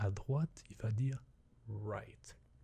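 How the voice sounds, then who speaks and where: A soft-spoken, somewhat breathy man with a dark, mellow, gentle tone, medium pitch, a very slow pace and ordinary pitch variation. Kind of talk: ASMR roleplay as an English teacher, soft spoken. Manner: soft-spoken, gentle.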